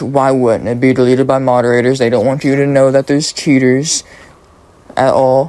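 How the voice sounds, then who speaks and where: Noticeable background noise sits behind a man speaking at a fairly high pitch. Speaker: gaming commentator. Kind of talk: casual commentary monologue. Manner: halting, stumbling.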